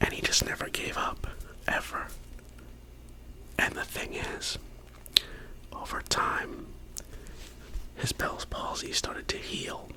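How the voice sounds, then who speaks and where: A man's whispering at a fairly slow pace, with long, frequent pauses and noticeable background noise. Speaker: ASMR content creator. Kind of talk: whisper ramble to camera about favorite ASMR artists. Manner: whispered, soft-spoken.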